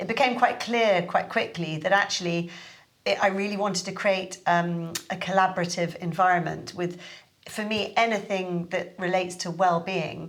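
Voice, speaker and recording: With audible room echo, a woman in a southern English accent speaks at a moderate pace, with medium pitch and fairly even intonation. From London. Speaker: Pilates teacher and studio owner. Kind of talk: podcast interview. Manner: hesitant, many fillers.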